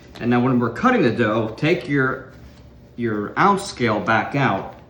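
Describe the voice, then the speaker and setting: A man speaks at a moderate pace and medium pitch with lively intonation. Noticeable background noise and audible room echo are present. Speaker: home cooking instructor. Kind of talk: cooking tutorial. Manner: casual.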